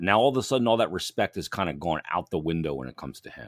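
Vocal fry marks this man's very fast speech. His pitch makes very wide swings. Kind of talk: sports talk show with sponsor reads.

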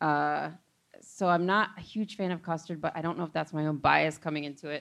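Against a quiet background, a woman talks at a fairly quick pace in a normal speaking voice, fairly low in pitch. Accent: American. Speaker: comedy writer. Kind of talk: live comedy podcast chat. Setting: stage with audience.

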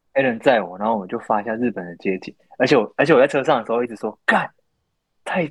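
At a very fast pace, a man of medium pitch speaks with ordinary pitch variation and big swings in loudness, in a dry, close sound with no echo. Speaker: podcast co-host. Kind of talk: casual chat. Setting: remote call-in from Japan. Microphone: poor remote recording quality.

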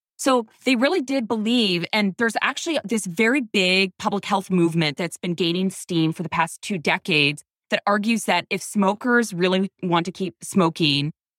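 Using an ordinary speaking voice, a woman talks at a moderate pace, medium in pitch, with lively intonation. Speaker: journalist and author. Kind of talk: interview.

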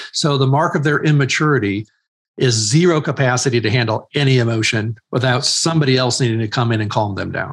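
A man speaks at a very fast pace in a somewhat breathy voice. His medium pitch varies in an ordinary way. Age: 50s. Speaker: author and ministry leader. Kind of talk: interview.

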